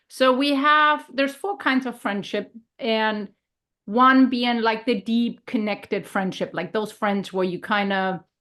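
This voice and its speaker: A woman with a German accent speaks at a fairly slow pace in a bright, sharp tone with a fairly high pitch. Her pitch varies in an ordinary way, and the background is quiet. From Germany. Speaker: health and leadership coach. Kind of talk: casual podcast conversation.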